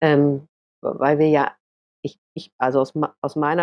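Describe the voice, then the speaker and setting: This woman speaks with a very deep, low pitch. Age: 40s. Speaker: author. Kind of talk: casual chat. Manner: halting.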